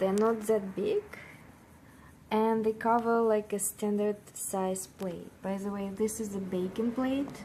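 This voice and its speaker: A woman with a non-native accent and a fairly high pitch speaks at a very slow pace in a monotone, flat way. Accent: non-native English, drops parts of words. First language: not English. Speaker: vlogger. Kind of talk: casual vlog talk. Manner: halting, many fillers.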